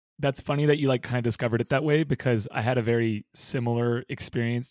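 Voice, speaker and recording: A man with an American accent at a very fast pace, medium in pitch with ordinary pitch variation, in a very clean recording with a silent background and a dry, close sound with no echo. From US West Coast, Bay Area. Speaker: professional ultimate frisbee player. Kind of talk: casual interview.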